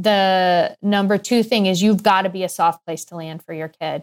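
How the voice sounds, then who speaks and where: With an American accent, a woman speaks at a moderate pace and medium pitch in an ordinary speaking voice, on a very clean recording with a silent background. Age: 50s. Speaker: pediatrician and weight coach. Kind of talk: interview.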